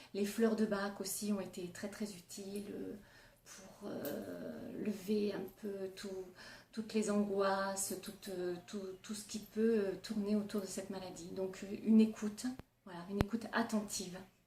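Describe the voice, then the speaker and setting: The voice has a dark, mellow tone and flat, monotone intonation, moving at a fairly slow pace, somewhat breathy, with big swings in loudness and audible room echo. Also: woman, medium pitch for a woman. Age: 40s. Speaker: nurse and cancer patient. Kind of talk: testimony. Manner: hesitant, many fillers.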